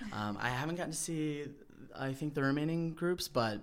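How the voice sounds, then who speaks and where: A man with a normal speaking voice, moderate pace and lively intonation. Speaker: a cappella group member. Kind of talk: casual interview chat.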